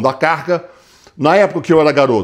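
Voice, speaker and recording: Over a quiet background, a man with a fairly high voice and vocal fry speaks with lively intonation. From Brazil. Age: 60s. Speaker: fitness coach. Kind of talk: tutorial. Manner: casual, conversational. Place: gym. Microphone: lapel.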